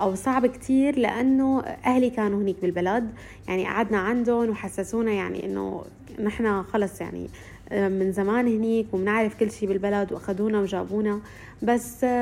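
At a moderate pace, a woman speaks in a plain, everyday voice at medium pitch with fairly even intonation. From Syria. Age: 20s. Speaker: recent journalism graduate and social media creator. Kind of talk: interview testimony.

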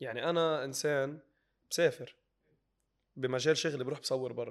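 His pitch fairly high and his intonation fairly even, a man talks at a rather quick pace. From Lebanon. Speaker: social media comedian. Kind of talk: interview.

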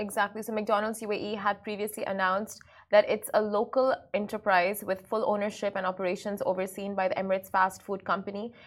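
Here a woman speaks at medium pitch. Her pace is fairly quick. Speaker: morning show co-host. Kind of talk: casual chat and news roundup. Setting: studio. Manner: animated.

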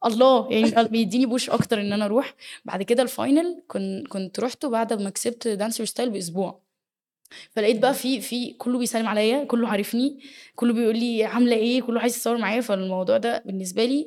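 On a very clean recording with a silent background, a woman speaks at a fairly quick pace with a fairly high pitch and ordinary pitch variation. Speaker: dance choreographer and teacher. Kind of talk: interview.

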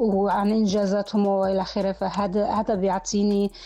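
At a moderate tempo, a woman talks in a medium pitch. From northern Jordan. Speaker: university lecturer in rhetoric and linguistics. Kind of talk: personal life story interview. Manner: halting with repetitions.

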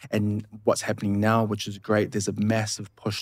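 A man with a New Zealand accent speaks in a flat monotone on a very clean recording with a silent background. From New Zealand, Samoan family. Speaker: cultural community speaker. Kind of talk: casual chat.

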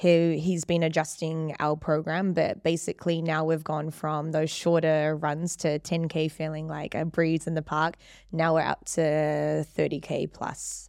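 In a New Zealand accent, a woman speaks with a very deep, low pitch and monotone, flat intonation. Her pace is fairly slow with hardly any pauses, on a very clean recording with a silent background. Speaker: fitness trainer. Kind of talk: casual interview chat. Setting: studio.

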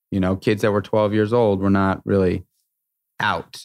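In a very clean recording with a silent background, a man with an American accent speaks at a fairly low pitch in a monotone, flat intonation. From New York City. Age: 40s. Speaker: restaurateur and entrepreneur. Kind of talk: interview conversation. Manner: halting, many repeated words.

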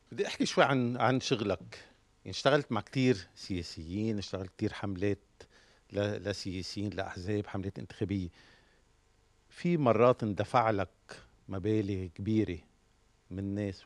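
At a moderate pace, a man with a fairly low pitch uses a normal speaking voice and ordinary pitch variation. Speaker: podcast host. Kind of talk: interview.

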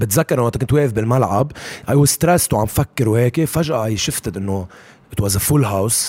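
A man with a medium pitch talks at a fairly quick pace over noticeable background noise. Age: 20s. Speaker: basketball coach. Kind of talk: casual interview. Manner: heavy Arabic-English code-switching.

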